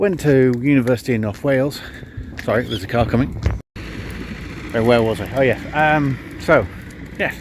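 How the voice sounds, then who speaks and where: Over noticeable background noise, a man talks fairly quickly at a medium pitch with ordinary pitch variation and long, frequent pauses. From northern England (Cumbria). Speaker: amateur endurance sports vlogger. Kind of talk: casual Q&A vlog. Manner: casual, lots of ums and uhs.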